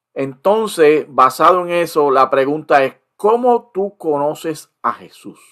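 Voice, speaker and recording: Speech at a very slow pace swings widely in loudness. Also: man, fairly high pitch for a man. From Puerto Rico. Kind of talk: interview.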